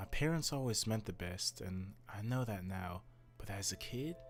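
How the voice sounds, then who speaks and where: Music plays behind a man who speaks at a moderate pace in a fairly low voice with ordinary pitch variation. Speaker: storyteller. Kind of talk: horror story narration.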